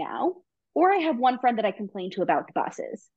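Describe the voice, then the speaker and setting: A woman speaks with very wide pitch swings. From New York. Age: 20s. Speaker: guest. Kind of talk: casual chat.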